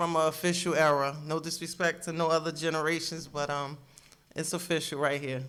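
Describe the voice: A woman speaks fairly quickly in an American accent, her pitch low. Her tone is fairly bright, with little pitch movement. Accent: New Jersey and New York urban.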